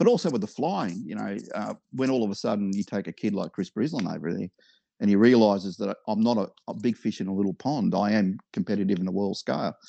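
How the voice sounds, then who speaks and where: A man with an Australian accent speaks at a very fast pace in a fairly low pitch, with ordinary pitch variation and a dark, mellow tone. The sound is dry and close with no echo, over a quiet background. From Victoria, Australia. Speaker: hobby businessman and aerobatic model pilot. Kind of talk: casual interview.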